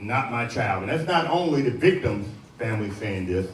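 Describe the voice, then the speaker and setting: Lively in intonation, a man with an American accent speaks amid noticeable background noise and audible room echo. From US Midwest, Cincinnati (Avondale). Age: 60s. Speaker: pastor, homicide chaplain, Vietnam veteran. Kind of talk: motivational talk to youth audience.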